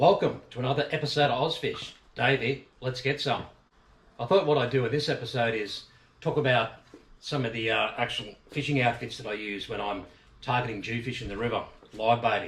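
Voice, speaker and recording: Fairly quick speech from a man in an Australian accent, at a medium pitch with ordinary pitch variation. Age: 50s. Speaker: fishing channel host. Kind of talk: casual tutorial. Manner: casual, many fillers.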